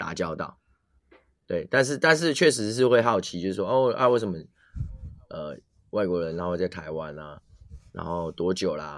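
Lively intonation with big swings in loudness and long, frequent pauses. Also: man, very deep, low pitch for a man, moderate pace. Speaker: podcast co-host. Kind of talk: casual chat.

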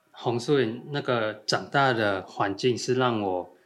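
Pitch moves up and down in an ordinary way. The background is silent, and the recording is very clean. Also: man. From Thailand and Taiwan. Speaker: rock climbing coach. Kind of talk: casual chat.

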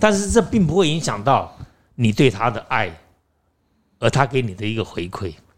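A man at medium pitch, with very wide pitch swings and long, frequent pauses. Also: moderate pace. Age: 60s. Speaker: actor and acting teacher. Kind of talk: interview.

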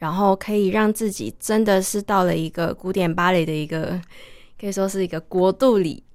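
In a very clean recording with a silent background, a woman with a Taiwanese accent speaks at a moderate pace with ordinary pitch variation. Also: medium pitch for a woman. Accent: Taiwanese Mandarin. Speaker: ballet dancer. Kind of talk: interview.

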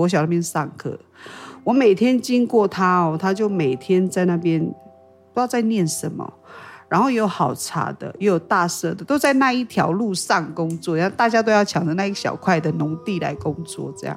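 A woman with a Taiwanese accent, medium pitch, lively intonation and moderate pace, with music in the background. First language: Paiwan (speaking Chinese). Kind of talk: interview.

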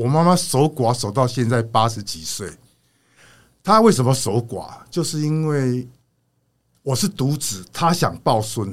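A man with a medium pitch and a somewhat breathy voice speaks at a fairly slow pace on a very clean recording with a silent background. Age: 60s. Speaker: retired factory owner. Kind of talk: casual interview chat.

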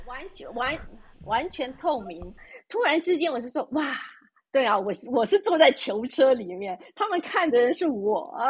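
A woman's high-pitched voice at a fairly slow pace, with very wide pitch swings and big swings in loudness. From Taiwan. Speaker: expat living in Europe. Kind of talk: casual interview chat. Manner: halting, with many fillers and repetitions.

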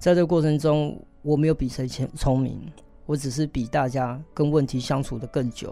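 This man has a dark, mellow tone, a fairly high pitch and fairly even intonation. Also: moderate pace. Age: 40s. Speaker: tech company chairman and former actor. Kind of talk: interview.

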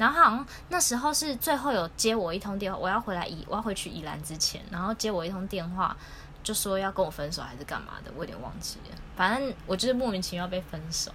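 A very fast, lively delivery in a Taiwanese accent, with big swings in loudness and noticeable background noise. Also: woman, medium pitch for a woman. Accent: Taiwanese Mandarin. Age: late 20s. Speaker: podcast co-host. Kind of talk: casual chat. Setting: home recording.

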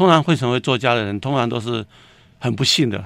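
Very fast and at a medium pitch, a man talks with ordinary pitch variation on a very clean recording with a silent background. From Taiwan, Taipei. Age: 60s. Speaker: writer and screenwriter. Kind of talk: casual interview.

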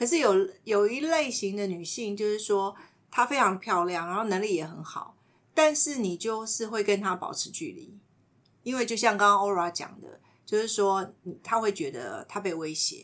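A woman with a medium pitch and lively intonation speaks at a moderate pace, with big swings in loudness. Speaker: podcast host and counselor-style teacher. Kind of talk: casual chat with light counseling.

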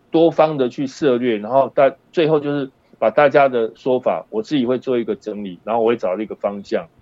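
A man talks at a fairly quick pace in a normal speaking voice, with medium pitch and ordinary pitch variation. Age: 60s. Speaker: high school performing arts teacher. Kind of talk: casual interview chat.

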